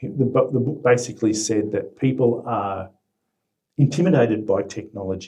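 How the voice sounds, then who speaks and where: A man speaks at a moderate pace in a medium pitch, somewhat breathy, with ordinary pitch variation. His tone is dark and mellow. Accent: Australian. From Australia. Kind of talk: mock speaking test answer. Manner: hesitant, thoughtful.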